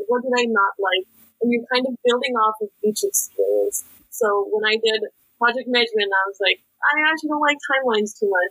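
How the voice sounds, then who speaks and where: Speaking at a fairly quick pace with an American accent, a woman with a high, bright, sharp voice and lively intonation is heard in a dry, close recording with no echo. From US West Coast, San Francisco Bay Area. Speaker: university student. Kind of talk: interview.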